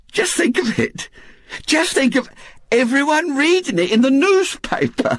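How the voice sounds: A man puts on a character voice at an extremely high pitch with big pitch swings. His tone is fairly bright, and his pace is fairly slow.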